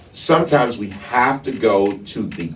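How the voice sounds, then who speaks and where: A man talks in a room with audible echo, and noticeable background noise runs beneath him. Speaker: talk show host and herbalist. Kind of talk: casual discussion. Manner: halting, repeats words.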